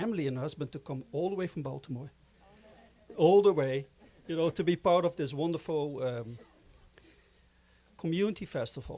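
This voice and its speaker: In a Dutch accent, a man speaks with a dark, mellow tone. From Netherlands. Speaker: board chairman of a film organization. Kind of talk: closing remarks at a festival.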